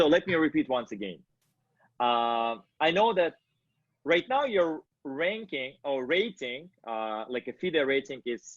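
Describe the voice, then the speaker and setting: Speaking at a very slow pace with a non-native accent, a man's voice makes very wide pitch swings. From Kazakhstan. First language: not English. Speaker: interviewer, company founder. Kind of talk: interview. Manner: halting.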